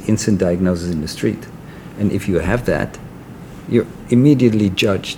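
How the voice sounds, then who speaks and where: A man speaks with an ordinary speaking voice, fairly low in pitch, with ordinary pitch variation. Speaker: podcast host. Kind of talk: interview.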